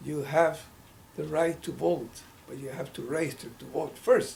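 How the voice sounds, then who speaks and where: A man with a Mexican accent speaks at a fairly slow pace in a fairly high voice, with audible room echo and noticeable background noise. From Mexico, state of Hidalgo. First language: Spanish. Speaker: civil rights activist. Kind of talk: oral history interview. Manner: halting, with self-corrections.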